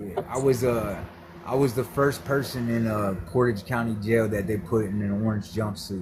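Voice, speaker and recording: Against noticeable background noise, a man with an American accent talks at a moderate pace. His pitch is fairly low and his intonation fairly even. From US Midwest, Ohio (Cleveland area). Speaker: former prisoner. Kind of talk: interview, telling his story. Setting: audio-only call into live stream.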